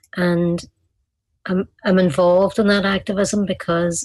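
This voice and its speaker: A woman with a Donegal accent, fairly low in pitch, with monotone, flat intonation. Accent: Donegal Irish. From Ireland, County Donegal. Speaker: community activist. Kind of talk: interview. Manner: hesitant, many fillers.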